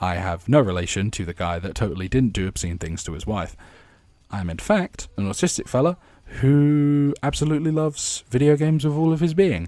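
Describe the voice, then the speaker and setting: A man at a fairly quick pace, with very wide pitch swings. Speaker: gaming YouTuber. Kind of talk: casual monologue. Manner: halting.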